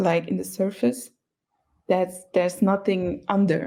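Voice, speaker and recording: Vocal fry runs through a woman's medium-pitched voice. She talks at a fairly slow pace with ordinary pitch variation. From Luxembourg, Cape Verdean family. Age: young. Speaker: young interviewee. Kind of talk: casual interview. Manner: halting, many fillers.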